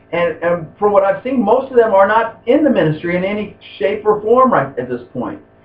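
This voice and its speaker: A man speaks at a fairly quick pace with very wide pitch swings. Audible room echo surrounds his voice. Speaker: class instructor. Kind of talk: lecture. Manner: halting.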